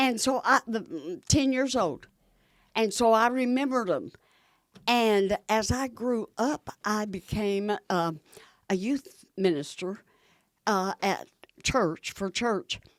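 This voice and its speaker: A woman with a Southern US accent at a very slow pace, lively in intonation, with long, frequent pauses. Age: 90s. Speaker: camp founder and minister. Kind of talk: interview storytelling. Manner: animated.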